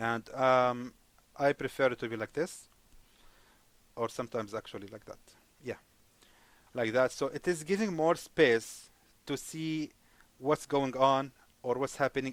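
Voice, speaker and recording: A man with a non-native accent speaks at a medium pitch, his loudness swinging widely, with long, frequent pauses in a dry, close recording that has no echo. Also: ordinary pitch variation, moderate pace. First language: not English. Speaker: forex trading teacher. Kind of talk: screen-share tutorial. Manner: hesitant, many fillers; casual, friendly.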